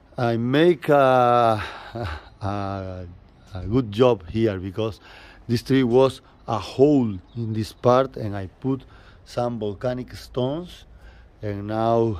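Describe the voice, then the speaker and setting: With a Spanish accent, a man speaks at a very slow pace in a medium pitch, using ordinary pitch variation and long, frequent pauses. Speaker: bonsai nursery owner. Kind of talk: casual guided tour to camera.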